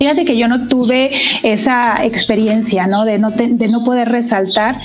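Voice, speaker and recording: A woman speaks at a moderate pace with fairly even intonation and a fairly high pitch. Noticeable background noise is present. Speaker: engineering director. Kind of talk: interview.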